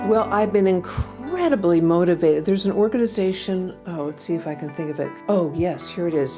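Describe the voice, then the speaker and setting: A woman speaks with an American accent and lively intonation. Music plays in the background. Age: 70s. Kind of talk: podcast interview answer.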